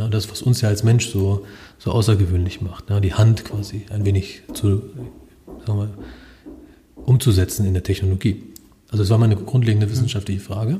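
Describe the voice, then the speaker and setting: Somewhat breathy, dark and mellow in tone, at a moderate pace, with monotone, flat intonation and long, frequent pauses. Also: man, fairly low pitch for a man. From Germany, Lower Saxony (partly Upper Franconia). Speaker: robotics professor. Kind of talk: interview. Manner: hesitant, many filler sounds.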